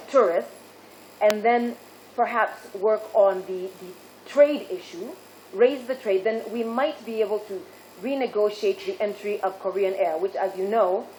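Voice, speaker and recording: A woman with an American accent speaks at a fairly slow pace with ordinary pitch variation over noticeable background noise. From Kenya, Kitui. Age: 40s. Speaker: ambassador nominee. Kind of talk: parliamentary vetting hearing. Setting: committee hearing room. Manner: formal.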